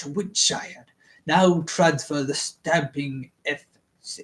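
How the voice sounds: Using a put-on character voice with a sinister, dramatic tone, a man speaks at a fairly high pitch and a fairly slow pace with ordinary pitch variation.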